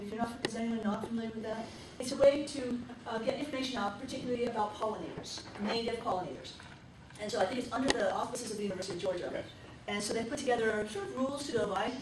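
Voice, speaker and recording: A woman speaks very fast with ordinary pitch variation. Noticeable background noise and audible room echo are present. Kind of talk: business meeting announcements. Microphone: camera far.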